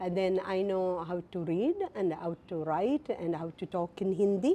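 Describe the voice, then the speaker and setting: A woman at a fairly slow pace with ordinary pitch variation, over noticeable background noise. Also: medium pitch for a woman. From India. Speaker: guest. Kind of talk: interview. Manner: halting.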